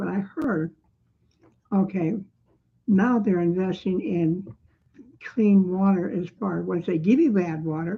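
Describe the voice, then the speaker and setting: A somewhat breathy woman speaks at a medium pitch with lively intonation. Her pace is fairly slow, broken by long, frequent pauses. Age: 70s. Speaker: resident making a complaint video. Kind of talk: personal testimony. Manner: rambling, repetitive filler.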